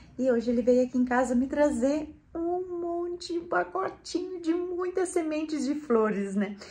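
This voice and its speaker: A woman talks at a high pitch and a fairly slow pace, with hardly any pauses. Her pitch swings very widely. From Brazil, rural Rio Grande do Sul. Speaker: gardening and home lifestyle YouTuber. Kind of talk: casual vlog talk to viewers.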